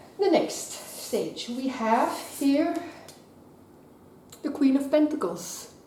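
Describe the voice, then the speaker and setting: A woman's high-pitched, very slow speech with lively intonation, long, frequent pauses and noticeable background noise. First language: not English. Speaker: tarot card reader. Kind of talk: tarot reading to camera.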